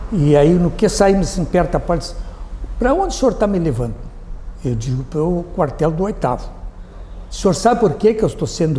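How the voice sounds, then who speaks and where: A man talks in a high voice with very wide pitch swings. There is audible room echo. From southern Brazil, Rio Grande do Sul (Alegrete). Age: 80s+. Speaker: retired army colonel and former mayor. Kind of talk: interview, personal recollections. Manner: halting, with repetitions.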